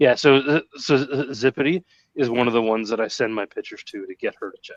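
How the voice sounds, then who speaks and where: Someone with a Canadian accent talks at a very fast pace, with big swings in loudness. The sound is dry and close, with no echo. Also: man. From Canada. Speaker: streaming guest, decoy. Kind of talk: casual chat. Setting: live stream.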